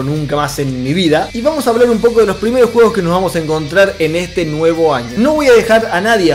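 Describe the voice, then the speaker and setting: A man is talking. Faint music plays in the background. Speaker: gaming video host. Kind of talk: casual vlog chat. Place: home room.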